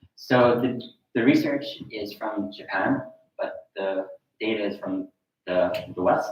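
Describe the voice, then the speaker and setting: A man with an American accent talks at a fairly slow pace, leaving long, frequent pauses, and the room echo is audible. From US Northeast, Philadelphia. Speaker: university professor. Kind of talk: conference presentation.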